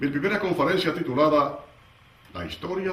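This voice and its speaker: Noticeable background noise can be heard while a man talks. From Dominican Republic. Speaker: radio announcer. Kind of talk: lecture.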